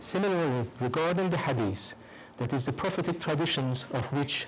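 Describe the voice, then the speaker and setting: Amid audible room echo, a somewhat breathy man with a non-native accent speaks at a moderate pace with ordinary pitch variation. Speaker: professor. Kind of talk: lecture. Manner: reading a prepared text.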